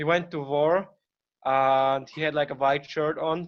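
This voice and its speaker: A man in a German accent, with a fairly high pitch and fairly even intonation. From Austria. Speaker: presenter on his country. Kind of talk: informal presentation.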